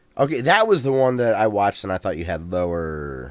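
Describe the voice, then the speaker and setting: A man with an Ohio accent, fairly low in pitch, at a fairly quick pace and with very wide pitch swings. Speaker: podcast co-host. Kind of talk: casual chat.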